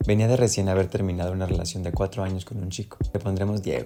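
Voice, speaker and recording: Very deep, low male voice at a very fast pace, with noticeable background noise. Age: 20s. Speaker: singer-songwriter and YouTuber. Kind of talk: reading aloud own book with commentary. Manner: casual, conversational.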